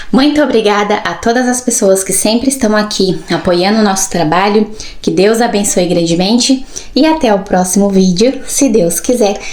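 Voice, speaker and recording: At a moderate pace, a woman with a medium-pitched voice and an animated tone speaks with ordinary pitch variation and very even loudness, with noticeable background noise and audible room echo. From Brazil. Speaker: vlogger. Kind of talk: casual vlog monologue. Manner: animated, with verbal fillers.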